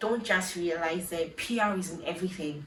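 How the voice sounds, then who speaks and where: A woman with a Ghanaian accent talks at a fairly slow pace, with a medium pitch and ordinary pitch variation. Room echo is audible, and there is noticeable background noise. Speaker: vlogger. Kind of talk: personal vlog monologue.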